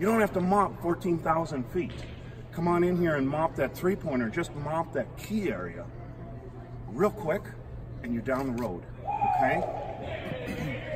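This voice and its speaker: Loud background noise fills the clip of a man speaking. He talks at a fairly slow pace with long, frequent pauses. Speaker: floor maintenance instructor. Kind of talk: tutorial. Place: hall. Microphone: camera far.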